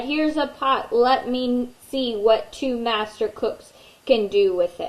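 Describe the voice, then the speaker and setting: In a put-on character voice, a woman speaks at a fairly slow pace with a high pitch. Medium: read story. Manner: jovial.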